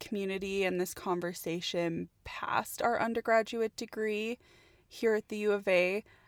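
With a Canadian accent and an unremarkable speaking voice, a woman talks at medium pitch with fairly even intonation, recorded very cleanly against a silent background in a dry, close sound with no echo. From Canada, Edmonton, Alberta. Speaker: industrial designer, podcast co-host. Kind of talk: casual chat.

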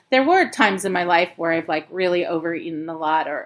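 A woman with an American accent uses a normal speaking voice at a medium pitch and a fairly quick pace. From US Pacific Northwest, Portland, Oregon. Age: 50s. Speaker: preschool teacher. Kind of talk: casual interview.

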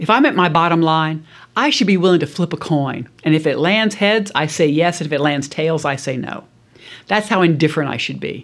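In an American accent, a woman talks fairly quickly with a very deep, low pitch and ordinary pitch variation on a very clean recording with a silent background. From US South, South Louisiana. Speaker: business school professor, negotiation expert. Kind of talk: interview, expert conversation.

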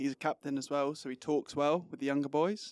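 In a very clean recording with a silent background and a dry, close sound with no echo, a man with an English accent talks at a very fast pace, his fairly high pitch held in a monotone, flat intonation. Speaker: footballer. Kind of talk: casual interview. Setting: studio.

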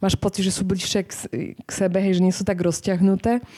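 Very clean and silent in the background, the recording holds a woman's medium-pitched voice with a dark, mellow tone. She speaks in a monotone, flat way. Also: dry, close sound with no echo. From Poland. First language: Polish (speaking Slovak). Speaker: author, reporter. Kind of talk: book launch talk. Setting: live event with audience.

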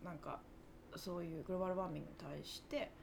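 Amid audible room echo, a woman speaks at a very fast pace. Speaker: podcast co-host. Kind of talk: casual chat.

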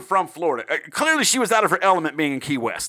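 A man with a Southern US accent talks at a very fast pace in a raised, projected voice, pitched high with very wide swings. The recording is very clean, with a silent background. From South Carolina. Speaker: true crime podcast host. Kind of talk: casual, profane chat with storytelling.

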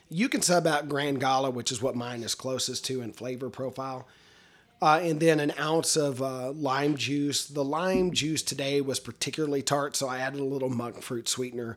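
On a very clean recording with a silent background, a man with an American accent uses a normal speaking voice, fairly even intonation and a moderate pace. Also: fairly high pitch for a man. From Texas. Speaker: podcast host. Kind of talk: casual chat. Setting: home studio.

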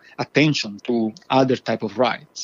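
A man with a medium-pitched voice keeps a moderate tempo and fairly even intonation. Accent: Italian. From Italy. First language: Italian. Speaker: professor. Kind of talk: interview.

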